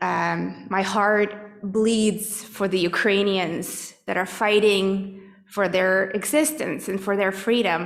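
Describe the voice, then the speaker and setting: Audible room echo surrounds a woman who speaks at a very slow pace in a medium-pitched voice with fairly even intonation. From Russia, Moscow. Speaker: congregant sharing reflections. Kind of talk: personal testimony. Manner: halting, many fillers.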